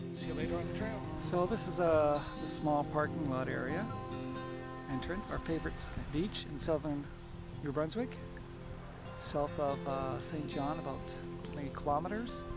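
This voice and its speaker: Loud music plays behind a man speaking at a moderate pace. The sound is dry with no echo, and his pauses are long and frequent. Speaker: hiking vlogger. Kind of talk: casual vlog chat. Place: open country. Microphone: phone near.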